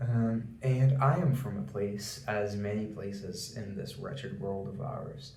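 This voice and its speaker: With a Portuguese accent and lively intonation, the speaker goes at a fairly slow pace amid audible room echo. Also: man. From Brazil. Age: 20s. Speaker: YouTuber. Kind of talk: rant. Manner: formal.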